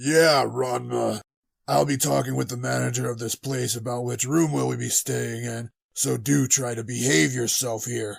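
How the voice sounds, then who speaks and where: Moderate pace in a put-on character voice. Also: man, medium pitch for a man. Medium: audio drama. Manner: casual, hearty.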